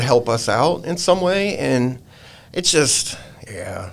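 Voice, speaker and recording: Over noticeable background noise, a man with an American accent talks very slowly at a fairly high pitch with lively intonation. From Virginia, US South. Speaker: pet photographer. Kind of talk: casual chat. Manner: casual, halting.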